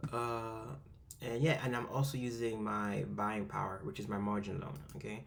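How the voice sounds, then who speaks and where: A man speaks with a fairly low pitch and lively intonation. Audible room echo is present. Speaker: amateur investing youtuber. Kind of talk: screen-recorded tutorial. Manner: fast, rushed; hesitant, many fillers.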